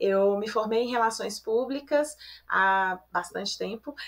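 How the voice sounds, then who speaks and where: With a Belo Horizonte accent, a woman speaks at a moderate pace in a fairly high pitch. Her tone is bright and sharp, with ordinary pitch variation. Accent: Belo Horizonte (mineiro). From Belo Horizonte, Brazil. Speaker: podcast co-host, corporate education analyst. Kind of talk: podcast interview. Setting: video call from home office.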